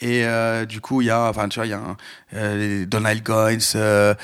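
The delivery comes at a very slow pace. The intonation is monotone and flat. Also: man. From France, Lyon. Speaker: hip hop podcast guest. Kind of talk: casual chat. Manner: hesitant, many fillers.

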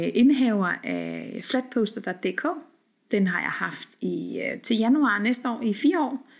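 Vocal fry runs through this very slow delivery with ordinary pitch variation, on a very clean recording with a silent background. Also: woman. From Denmark and Norway. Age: 40s. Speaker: podcast host. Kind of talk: solo podcast monologue. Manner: hesitant with many fillers.

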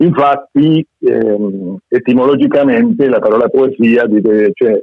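This is a plain, everyday voice from a man. He talks at a fairly slow pace with ordinary pitch variation. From Argentina. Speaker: poet and short story writer. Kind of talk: reading aloud; casual chat.

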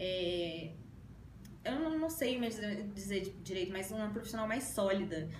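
Noticeable background noise and audible room echo surround a woman's medium-pitched voice. She talks at a fairly slow pace with lively intonation. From Brazil, Belo Horizonte, Minas Gerais. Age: 20s. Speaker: lawyer. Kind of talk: interview. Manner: halting.

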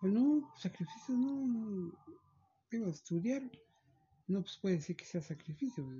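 Speaking at a fairly slow pace with long, frequent pauses, a man uses a high-pitched voice. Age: 50s. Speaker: chauffeur. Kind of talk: interview. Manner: halting, many repetitions.

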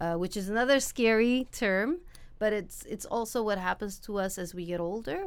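A woman with a plain, everyday voice, medium in pitch, at a moderate pace, with ordinary pitch variation. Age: 50s. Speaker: physical therapist. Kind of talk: interview. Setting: studio.

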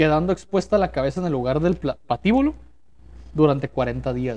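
Here is a man with a fairly high pitch. His tone is dark and mellow. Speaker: podcast host. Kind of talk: casual chat. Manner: casual, slangy.

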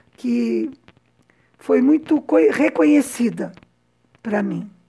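With vocal fry, a woman's fairly high voice makes very wide pitch swings. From São Paulo, Brazil. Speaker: podcast host and translator. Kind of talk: personal storytelling podcast.

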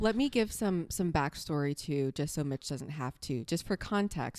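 In an American accent, a woman speaks with a very deep, low pitch and lively intonation on a very clean recording with a silent background. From US South. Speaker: ministry leader. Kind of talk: casual chat.

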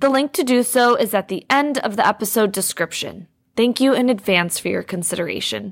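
In a dry, close recording with no echo, a woman with a normal speaking voice talks fairly quickly at a fairly high pitch with lively intonation. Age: 20s. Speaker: podcast host and learning specialist. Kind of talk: casual chat.

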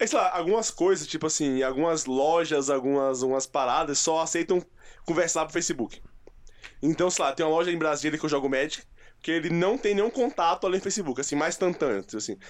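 Using a plain, everyday voice, a man with a fairly high pitch talks fairly quickly with ordinary pitch variation. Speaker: podcast co-host. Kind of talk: casual chat.

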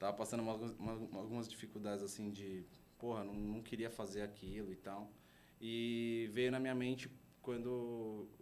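Amid audible room echo, a man talks at a moderate pace in a fairly low pitch with monotone, flat intonation. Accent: São Paulo. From São Paulo, Brazil. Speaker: art agency co-founder. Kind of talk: casual interview chat.

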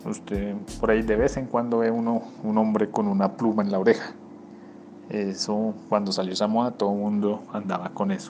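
Noticeable background noise runs under this recording. A man speaks at a fairly low pitch in a flat monotone at a moderate pace. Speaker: listener contributor. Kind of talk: recorded listener testimony.

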